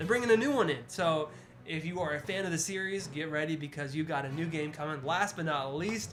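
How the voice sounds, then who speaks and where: An animated man with an American accent, fairly high-pitched, at a fairly quick pace with ordinary pitch variation, in audible room echo. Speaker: podcast co-host. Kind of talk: casual chat. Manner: fast.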